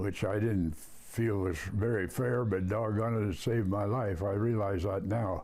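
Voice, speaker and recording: With audible room echo, a man speaks in a fairly low, dark and mellow voice, keeping very even loudness and fairly even intonation. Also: hardly any pauses. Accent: American. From Sacramento, California. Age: 90s. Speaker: war veteran. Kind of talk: interview.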